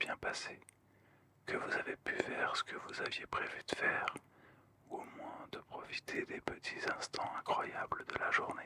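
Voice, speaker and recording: Noticeable background noise sits behind a whisper that moves at a fairly slow pace. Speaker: ASMR content creator, manga and DBZ card collector. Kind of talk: ASMR-style relaxing talk to camera, channel review. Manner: soft-spoken, calm, gentle, relaxing.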